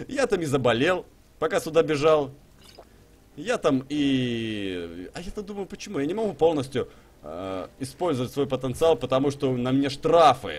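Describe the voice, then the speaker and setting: With very wide pitch swings, a man speaks at a moderate pace in a fairly high voice. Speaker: gaming streamer. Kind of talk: live stream gameplay commentary. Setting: live stream with chat and donations. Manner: animated, chatty.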